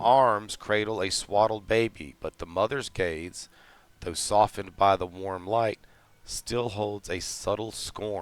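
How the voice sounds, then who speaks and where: A man speaks at a very slow pace. His pitch is fairly low, and his intonation is fairly even. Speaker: game master. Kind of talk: actual play scene narration. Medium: actual play.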